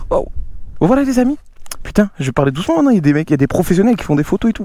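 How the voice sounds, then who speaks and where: The speech moves at a very fast pace with very wide pitch swings. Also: man. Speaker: motorcycle youtuber. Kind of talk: casual vlog talk to viewers. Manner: soft-spoken; animated.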